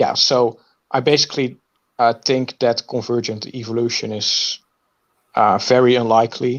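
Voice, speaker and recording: With a non-native accent, a man speaks at a fairly slow pace and medium pitch in a monotone, flat intonation, leaving long, frequent pauses. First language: not English. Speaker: viewer seeking tutoring. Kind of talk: casual conversation, video meeting. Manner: halting, many fillers.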